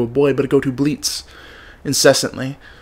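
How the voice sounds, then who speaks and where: A man's fairly high pitch at a fairly quick pace. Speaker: spoken word poet. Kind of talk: spoken word performance. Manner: fast; rhythmic rhyming delivery.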